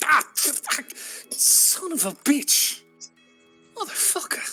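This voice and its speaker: The put-on character voice moves at a very slow pace. Faint music sits in the background. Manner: muttering pained curses.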